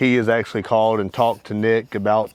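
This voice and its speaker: With noticeable background noise behind him, a man talks fairly quickly in a fairly low voice. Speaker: outdoors video creator. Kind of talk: tutorial. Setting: outdoors. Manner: fast; casual, animated.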